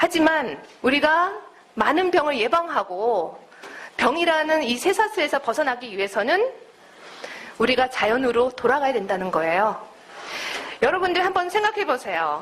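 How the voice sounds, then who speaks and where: Against noticeable background noise, a woman with a slight non-native accent speaks at a moderate pace in a high voice with very wide pitch swings and long, frequent pauses. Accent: slightly non-native Korean. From United States. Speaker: naturopathic doctor and lecturer. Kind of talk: lecture.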